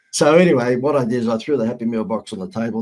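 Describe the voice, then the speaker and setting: This man has an Australian accent. His pitch sits in the medium range. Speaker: marketing consultant. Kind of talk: podcast interview, storytelling.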